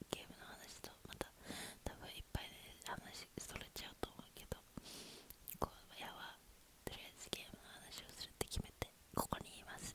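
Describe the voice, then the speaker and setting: A woman whispers at a moderate pace with big swings in loudness and long, frequent pauses, noticeable background noise behind her. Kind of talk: ASMR whispered chat to camera. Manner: whispered, casual, rambling.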